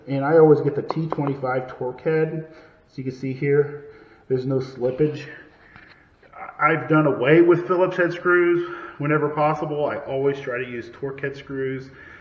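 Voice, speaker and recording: Fairly even intonation at a moderate pace, with noticeable background noise and audible room echo. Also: man, fairly high pitch for a man. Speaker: DIY carpenter. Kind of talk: tutorial. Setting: indoors, upstairs room of house.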